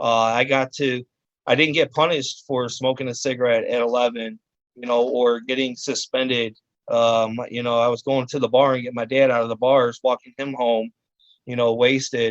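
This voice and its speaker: At a moderate pace, a man with an American accent talks in a flat monotone at medium pitch. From US Midwest, Cleveland, Ohio (west side). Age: 40s. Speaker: chef. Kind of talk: interview testimony. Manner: halting, many fillers.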